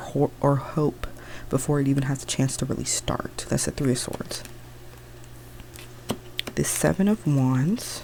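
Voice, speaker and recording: Long, frequent pauses break up fairly slow speech over noticeable background noise. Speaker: tarot reader. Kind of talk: ASMR soft-spoken explanation. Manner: casual, rambling.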